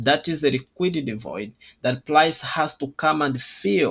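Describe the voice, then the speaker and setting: Speaking fairly slowly, a man lets his pitch vary in an ordinary way. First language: not English. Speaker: trading educator. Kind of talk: tutorial. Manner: halting.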